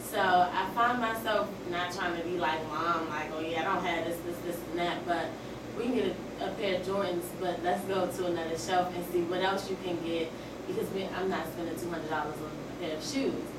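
A woman speaks amid loud background noise, with audible room echo. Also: moderate pace. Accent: American. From Washington, D.C. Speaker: student. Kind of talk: audience question. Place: classroom. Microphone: camera far.

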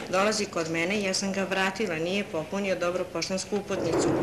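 Noticeable noise fills the background while the words come out fairly quickly. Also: woman. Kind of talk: interview answer.

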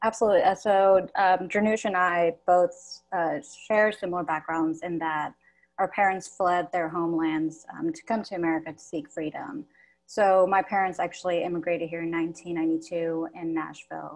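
A woman speaks at a fairly low pitch and a moderate pace. Her intonation is fairly even. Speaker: textile artist. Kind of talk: panel discussion. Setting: video call. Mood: warm, reflective. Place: home room.

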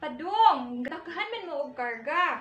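A woman speaks at a fairly slow pace with an extremely high pitch and lively intonation, in a Philippine accent. Audible room echo surrounds her voice. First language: Cebuano (speaking Tagalog). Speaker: teacher. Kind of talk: classroom storytelling, reading aloud and translating. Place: classroom. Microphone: camera far.

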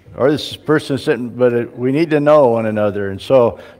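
Fairly quick speech from a man with ordinary pitch variation. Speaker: pastor. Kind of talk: church announcements. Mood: relaxed and friendly. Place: church.

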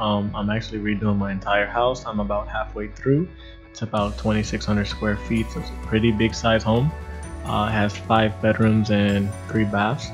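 Someone speaks at a moderate pace with clear music in the background. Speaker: DIY home renovator. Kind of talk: DIY tutorial voiceover. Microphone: webcam.

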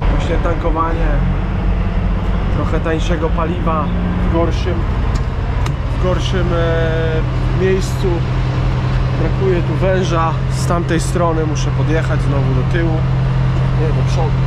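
Through loud background noise, a man speaks at a fairly slow pace with long, frequent pauses. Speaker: truck driver vlogger. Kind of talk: casual vlog chat. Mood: relaxed, later grumbling. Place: street. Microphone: phone near.

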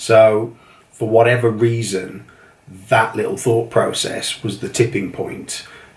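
The pace is rather slow. A man talks with an English accent. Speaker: entrepreneur, leather notebook maker. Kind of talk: casual talk to camera. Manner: hesitant, many fillers.

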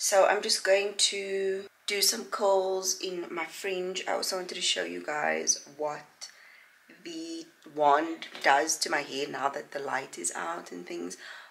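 A woman at a very slow pace, with big swings in loudness over light background noise. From South Africa. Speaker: vlogger. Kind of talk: casual vlog chat. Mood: relaxed, easygoing. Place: home room. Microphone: phone near.

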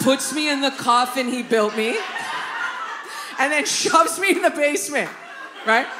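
Over music in the background, a woman with a high pitch uses a raised, projected voice at a moderate pace, leaving long, frequent pauses. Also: lively intonation. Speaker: stand-up comedian. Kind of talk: live stand-up comedy set. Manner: animated, casual, profane. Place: stage. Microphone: handheld.

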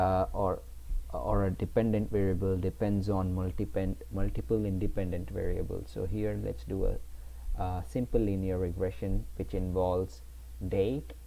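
The tone is dark and mellow, somewhat breathy. The pitch swings very widely. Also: man, very deep, low pitch for a man. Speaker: data analytics tutor. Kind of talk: software tutorial narration. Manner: slow.

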